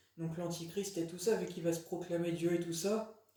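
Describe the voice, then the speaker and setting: A man speaks at a fairly slow pace in a high pitch. His intonation stays monotone and flat. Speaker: religious video blogger. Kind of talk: casual monologue. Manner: halting, many fillers.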